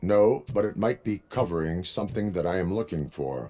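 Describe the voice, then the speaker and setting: A put-on character voice from a man, pitched very deep and low, at a medium speed. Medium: video game. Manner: flat, formal, clipped.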